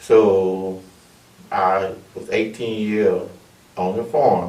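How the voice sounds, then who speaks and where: A man speaks with an Alabama accent. The room echo is audible. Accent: Southern US (Alabama). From US South, Alabama (Monroeville). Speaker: army veteran and chaplain. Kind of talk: oral history testimony.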